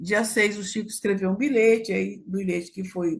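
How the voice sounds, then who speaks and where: Her medium-pitched voice is somewhat breathy as the woman speaks. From Brazil, Acre. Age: 70s. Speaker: activist. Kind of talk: casual chat.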